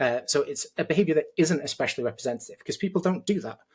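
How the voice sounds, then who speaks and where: A man with a British accent, somewhat breathy and very fast, with ordinary pitch variation. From Britain. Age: 30s. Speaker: judo coach. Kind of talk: heated debate.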